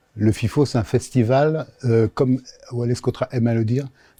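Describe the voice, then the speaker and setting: A man speaks at a fairly slow pace in a dark, mellow tone. His pitch is medium, his intonation fairly even, and his voice somewhat breathy. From Africa (Senegal, Gabon, Cameroon, Madagascar). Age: 60s. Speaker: regional TV network director. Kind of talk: interview. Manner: hesitant with frequent fillers.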